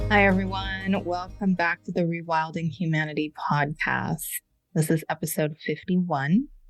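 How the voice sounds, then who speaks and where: Over music in the background, a woman speaks at a very deep, low pitch with very wide pitch swings. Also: moderate pace. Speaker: podcast host. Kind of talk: podcast intro.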